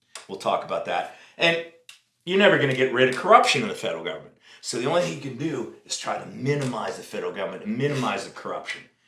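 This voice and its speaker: The speech comes at a very fast pace, with big swings in loudness. Audible room echo is present. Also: man. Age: 60s. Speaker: podcast host. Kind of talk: casual chat.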